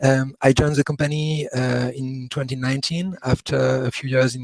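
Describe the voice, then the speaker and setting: In a dry, close recording with no echo, a man speaks with a French accent. His voice is somewhat breathy and his intonation monotone and flat. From France. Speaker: customer care executive. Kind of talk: webinar talk.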